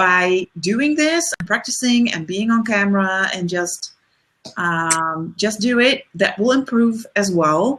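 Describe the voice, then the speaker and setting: At a very slow pace, a woman with a Dutch accent speaks at medium pitch with lively intonation. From Netherlands. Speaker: leadership coach. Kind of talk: webinar discussion. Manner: halting.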